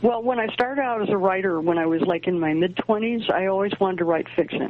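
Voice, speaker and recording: Noticeable background noise accompanies a woman speaking fairly quickly at a medium pitch with ordinary pitch variation. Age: 70s. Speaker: astrologer and author. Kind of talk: interview. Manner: halting.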